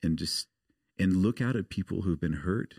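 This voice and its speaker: Heard in a very clean recording with a silent background and a dry, close sound with no echo, a man with a very deep, low pitch speaks at a fairly quick pace. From US Pacific Northwest, outside Portland, Oregon. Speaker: missionary. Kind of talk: casual interview.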